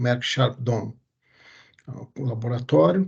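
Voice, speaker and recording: Somewhat breathy, a man talks in a medium pitch with fairly even intonation. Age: 40s. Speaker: urologist and medical researcher. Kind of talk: interview. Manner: halting.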